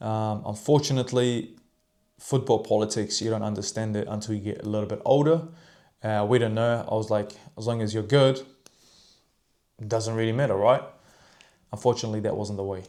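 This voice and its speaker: A man with a non-native accent and a dark, mellow tone, fairly even intonation, a fairly quick pace, and long, frequent pauses. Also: medium pitch for a man. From New Zealand, arrived as refugee child. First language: not English. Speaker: fitness coach. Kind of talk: personal storytelling monologue. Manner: casual, many fillers.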